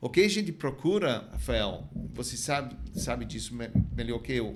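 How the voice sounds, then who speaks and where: A non-native accent, with audible room echo around the voice. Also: man, moderate pace. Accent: foreign accent in Portuguese. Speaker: wine importer. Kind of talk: podcast interview.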